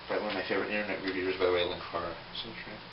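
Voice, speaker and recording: A speaker with an American accent is heard over noticeable background noise and audible room echo. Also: man. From US, Philadelphia, Pennsylvania. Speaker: toy collector video blogger. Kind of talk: casual vlog answering questionnaire. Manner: hesitant, many fillers.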